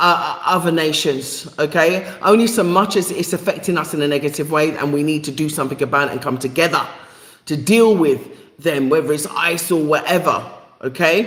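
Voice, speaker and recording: The speaker has a London accent and ordinary pitch variation. The pace is moderate. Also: woman. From England, East London. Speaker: live stream host. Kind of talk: live stream chat. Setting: YouTube live stream. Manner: halting, many fillers.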